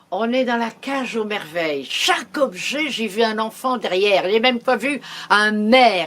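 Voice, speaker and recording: There is noticeable background noise behind the speaker. A woman talks in a fairly high voice with lively intonation. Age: 80s+. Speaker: storyteller. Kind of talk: interview answer. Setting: at home.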